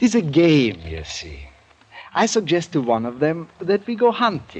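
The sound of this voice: A man puts on a character voice with a fairly high pitch and very wide pitch swings. His slightly mellow tone carries a slightly husky edge at a moderate pace.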